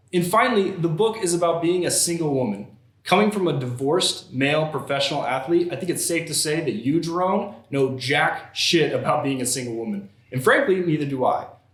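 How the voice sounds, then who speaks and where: A man talks fairly quickly, his intonation lively, while noticeable background noise carries on behind him. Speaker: comedy news show host. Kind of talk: satirical news anchor delivery, Weekend Update style.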